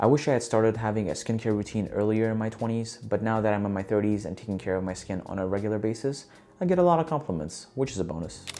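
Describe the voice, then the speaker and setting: A man races along at a very fast pace with lively intonation. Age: 30s. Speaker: vlogger giving life advice. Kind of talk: scripted talk to camera.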